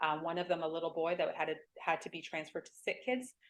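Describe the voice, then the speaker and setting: A woman speaks with a Canadian accent. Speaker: hospital foundation fundraiser. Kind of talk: presentation talk. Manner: fast.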